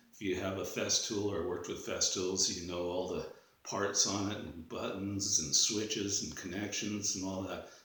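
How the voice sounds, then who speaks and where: A man with a Canadian accent speaks at a moderate pace. Room echo is audible and background noise is noticeable. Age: 60s. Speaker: drywall tradesman. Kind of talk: product review. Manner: casual, hesitant with fillers.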